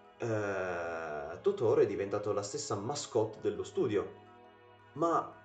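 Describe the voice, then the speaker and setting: There is audible room echo as a man speaks at a fairly slow pace with faint music in the background. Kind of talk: casual film commentary. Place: home room. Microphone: webcam.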